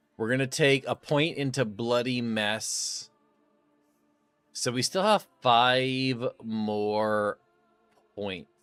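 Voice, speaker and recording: Music plays in the background as a man speaks at a very slow pace. He leaves long, frequent pauses. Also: medium pitch for a man, ordinary pitch variation. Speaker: video game streamer. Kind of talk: live gameplay stream chat. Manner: loud; casual, conversational.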